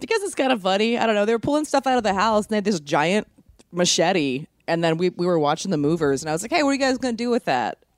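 A woman speaks at a very fast pace with very wide pitch swings, her pitch medium. The sound is dry and close, with no echo. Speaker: comedian podcast co-host. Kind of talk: casual chat.

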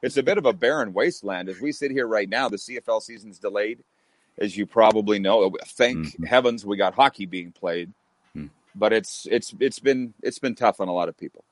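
A man uses a normal speaking voice at a medium pitch and moderate pace, with lively intonation. His loudness swings widely, and the sound is dry and close with no echo. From Canada. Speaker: radio host. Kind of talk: casual interview chat.

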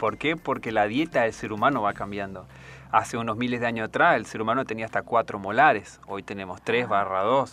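Against a quiet background, a man talks at a fairly quick pace with ordinary pitch variation. His tone is bright and sharp. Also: medium pitch for a man. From Argentina, Misiones province. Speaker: army dentist. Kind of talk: radio interview.

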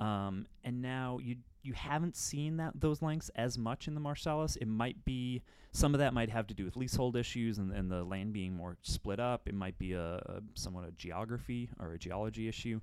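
A man with an American accent and an unremarkable speaking voice talks at a moderate pace and medium pitch, with lively intonation and hardly any pauses. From Menominee, Wisconsin (US Upper Midwest). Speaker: energy industry journalist. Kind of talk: casual expert discussion. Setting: office studio.

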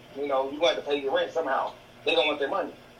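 A man's voice amid noticeable background noise. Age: 30s. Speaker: podcast co-host and healthcare worker. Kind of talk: casual chat. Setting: video call.

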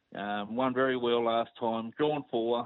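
A man speaks with an Australian accent. His voice sits at a medium pitch. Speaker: racing tipster. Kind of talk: casual chat. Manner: relaxed.

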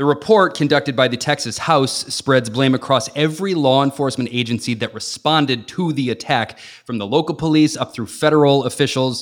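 In a plain, everyday voice, a man with an American accent speaks at a fairly high pitch and a fairly quick pace, with ordinary pitch variation and hardly any pauses. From US Midwest, Chicago area (Northwest Indiana). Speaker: radio and TV host, guest co-host. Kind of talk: news discussion podcast.

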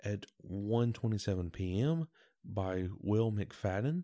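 On a very clean recording with a silent background, a man speaks in a fairly low, dark, mellow voice. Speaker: sports podcast host. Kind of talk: solo sports commentary podcast. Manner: low-voiced, laid-back.

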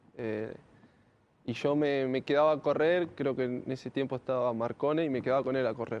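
With an ordinary speaking voice, a man talks at a moderate pace, keeping a medium pitch and fairly even intonation. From Argentina, Greater Buenos Aires (Lanús). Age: 20s. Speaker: professional footballer. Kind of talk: interview.

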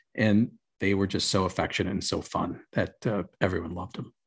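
The background is quiet as a man talks at a fairly quick pace. His voice sits fairly low, with an American accent. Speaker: podcast host. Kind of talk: casual chat. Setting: video call.

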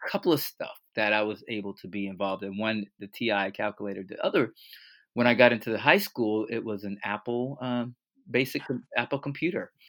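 A man with an American accent and an unremarkable speaking voice talks at a medium pitch with ordinary pitch variation and big swings in loudness. The recording is very clean with a silent background and a dry, close sound with no echo. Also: fairly quick pace. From US South, Fort Lauderdale, Florida. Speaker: math teacher and transformational coach. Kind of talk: interview.

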